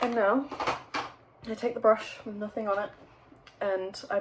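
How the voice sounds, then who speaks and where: Behind the woman speaking, background noise is noticeable. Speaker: beauty YouTuber. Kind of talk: makeup tutorial. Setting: home, bedroom by window. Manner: hesitant, many ums and restarts; casual chatty.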